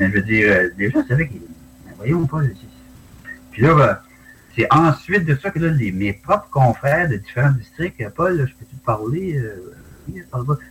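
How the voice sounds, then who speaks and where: At a moderate pace, a man speaks with very wide pitch swings, big swings in loudness, and long, frequent pauses. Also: medium pitch for a man. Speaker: retired forest ranger and dog handler, UFO witness. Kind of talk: interview testimony. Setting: video call.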